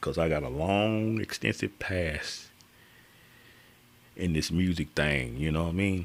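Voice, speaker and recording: A man talks with a very deep, low pitch and very even loudness. His pace is fairly slow, with ordinary pitch variation and long, frequent pauses. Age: 60s. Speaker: guitarist live streamer. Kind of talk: live stream chat. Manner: casual, halting with fillers.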